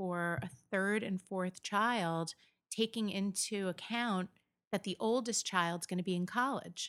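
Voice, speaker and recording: A woman with an American accent speaks at a medium pitch and a very slow pace. Her intonation stays fairly even, and the sound is dry and close with no echo. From New York State, Catskills. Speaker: event planner. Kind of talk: interview conversation.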